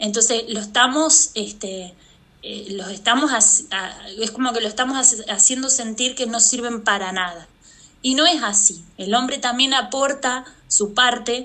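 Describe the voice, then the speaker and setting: A woman's fairly high pitch in an ordinary speaking voice, at a fairly slow pace with ordinary pitch variation. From Argentina, Santa Fe. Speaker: artist and mother. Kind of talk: interview conversation. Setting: remote call.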